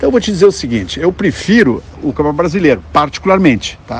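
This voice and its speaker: A man speaks with lively intonation. Noticeable background noise runs underneath. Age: 60s. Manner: halting, many fillers and repetitions.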